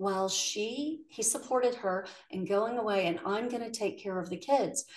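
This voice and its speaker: Using an ordinary speaking voice, a woman talks at a moderate pace. Her fairly high pitch carries lively intonation. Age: 50s. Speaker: podcast host. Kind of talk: interview conversation.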